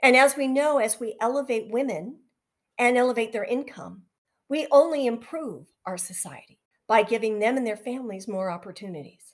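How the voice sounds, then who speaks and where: With a Canadian accent and a plain, everyday voice, a woman with a fairly high pitch speaks at a moderate pace, her intonation lively and her loudness swinging widely, on a very clean recording with a silent background. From Western Canada (near Vancouver). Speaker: podcast host. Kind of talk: podcast monologue.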